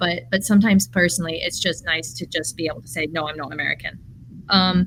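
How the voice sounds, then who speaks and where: Speaking quickly with a bright, sharp tone, a woman with an English accent uses lively intonation, vocal fry and a fairly low pitch. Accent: English accent, kept despite US upbringing. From English Midlands, raised in US. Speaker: artist and early childhood educator. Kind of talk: podcast conversation.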